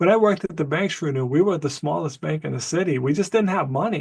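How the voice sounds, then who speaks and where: This man talks at a fairly quick pace, his pitch fairly high. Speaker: professor. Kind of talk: interview. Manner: fast.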